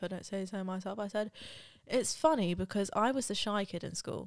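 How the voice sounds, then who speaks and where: A woman with a British accent shows ordinary pitch variation in a very clean recording with a silent background. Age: 20s. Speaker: YouTuber and podcast host. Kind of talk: casual solo monologue.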